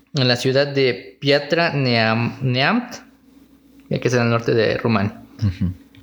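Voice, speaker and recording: A man speaks at a very slow pace, his pitch medium for a man. His loudness stays very even, with ordinary pitch variation. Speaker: podcast co-host. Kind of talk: casual chat. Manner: serious, newsreader-like.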